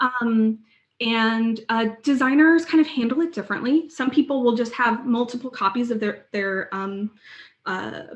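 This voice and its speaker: This woman has a plain, everyday voice. Her pitch is fairly high, with ordinary pitch variation. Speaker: UX design lead, conference speaker. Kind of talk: conference Q&A.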